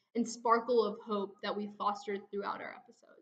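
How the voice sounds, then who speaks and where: The pace here is moderate. It's a normal speaking voice with an American accent. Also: woman. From USA, childhood partly in India. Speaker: digital storyteller, podcaster. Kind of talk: scripted narration.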